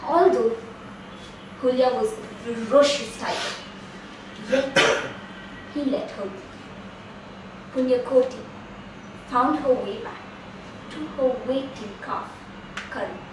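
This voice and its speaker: A woman's high voice, fairly slow, with long, frequent pauses, ordinary pitch variation, big swings in loudness and noticeable background noise. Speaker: Toastmasters club member storyteller. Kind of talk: storytelling folktale narration.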